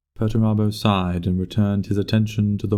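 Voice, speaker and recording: Music in the background under a man's fairly low, flat, monotone voice at a fairly quick pace. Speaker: voice actor. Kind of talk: story narration.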